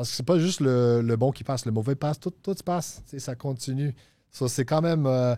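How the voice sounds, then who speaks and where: The pitch varies in an ordinary way and the pace is fairly quick. The tone is dark and mellow. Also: man, medium pitch for a man, dry, close sound with no echo, very clean recording, silent background. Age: 30s. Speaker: recovering addict sharing his story. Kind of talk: testimony. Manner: halting, repeats words.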